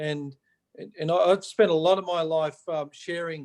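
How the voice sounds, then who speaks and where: With an Australian accent, a man talks at a moderate pace with fairly even intonation in a dry, close sound with no echo. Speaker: motivational speaker. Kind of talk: live-streamed motivational chat. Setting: video call, live on Facebook.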